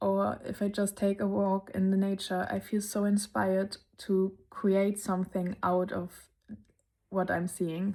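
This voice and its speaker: Over a very clean recording with a silent background, a dark, mellow voice with a German accent stays monotone and flat, at very even loudness. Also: woman, medium pitch for a woman, fairly slow pace. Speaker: lifestyle vlogger. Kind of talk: casual vlog narration.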